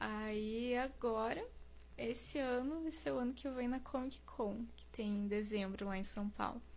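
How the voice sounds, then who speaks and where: Fairly high female voice, somewhat breathy, at a fairly slow pace with ordinary pitch variation and audible room echo. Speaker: singer and cosplayer. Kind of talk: casual interview.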